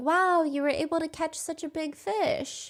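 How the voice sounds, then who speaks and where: Soft-spoken and squeaky, a woman does a put-on character voice at an extremely high pitch and a moderate pace. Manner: encouraging.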